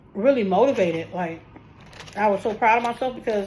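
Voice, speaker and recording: Noticeable background noise surrounds a woman's voice. She speaks at a fairly high pitch with ordinary pitch variation. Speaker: food vlogger. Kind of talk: casual chat. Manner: fast.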